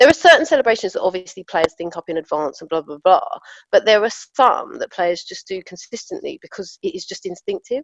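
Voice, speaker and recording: Speaking in a South London accent at a fairly quick pace, the voice shows big swings in loudness, with a dry, close sound and no echo. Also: woman. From Southeast London, England. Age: 40s. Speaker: football coach. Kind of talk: casual chat.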